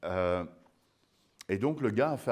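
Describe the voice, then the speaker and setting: A man with a very deep, low pitch talks at a moderate pace. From Belgium. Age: 50s. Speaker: sourdough expert and baker; guest. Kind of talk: public lecture. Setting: museum talk with live audience. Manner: animated. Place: hall.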